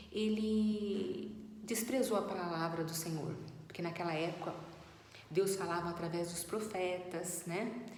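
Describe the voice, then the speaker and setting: Intonation stays fairly even. Room echo and background noise are both noticeable. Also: woman. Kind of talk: Bible teaching talk. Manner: trying to speak louder; halting with fillers. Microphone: no microphone, voice too quiet.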